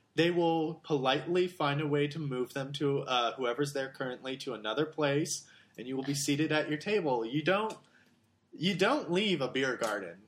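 Using a normal speaking voice, a man with a fairly high pitch talks at a moderate pace with ordinary pitch variation. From Germany, Greece and Austria (American expat family). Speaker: podcast guest. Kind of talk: casual chat.

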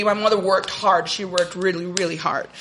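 A woman with an American accent talks fairly quickly, with noticeable noise in the background. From Chicago South Side. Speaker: comedian. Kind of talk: live storytelling. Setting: stage with audience. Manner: giggly, halting.

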